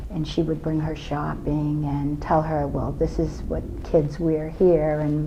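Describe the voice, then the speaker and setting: Over noticeable background noise, a woman with a very deep, low pitch speaks at a fairly slow pace. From Calabria, Italy. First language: Italian. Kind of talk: oral history interview answer.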